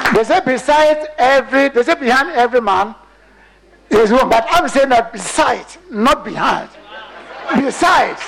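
A man with an extremely high pitch speaks at a moderate pace, with ordinary pitch variation and very even loudness. Long, frequent pauses break up his speech over noticeable background noise. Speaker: award winner. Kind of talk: acceptance speech.

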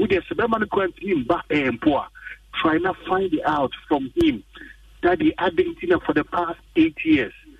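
A man speaks in a Ghanaian accent. His pace is moderate. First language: Twi. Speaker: caller giving advice. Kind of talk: call-in advice. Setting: phone call.

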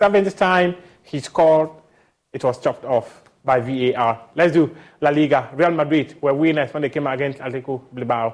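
Fairly high male pitch with ordinary variation, delivered by a man at a moderate pace. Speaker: sports news presenter. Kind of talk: sports news reading. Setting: studio.

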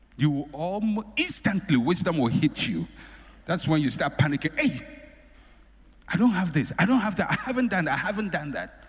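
Lively intonation marks this man's speech. His pitch is high and his pace moderate. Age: 50s. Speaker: pastor. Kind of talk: sermon. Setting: church.

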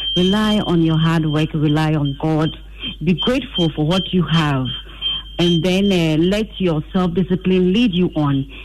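Against noticeable background noise, a woman with a fairly low pitch speaks at a moderate pace. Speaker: radio call-in caller. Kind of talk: phone-in comment.

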